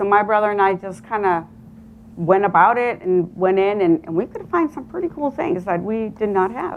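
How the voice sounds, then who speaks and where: With a Spanish accent, a woman speaks at a moderate pace, her fairly high pitch carried by lively intonation. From Colombia, Medellin. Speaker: real estate agent. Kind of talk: motivational talk.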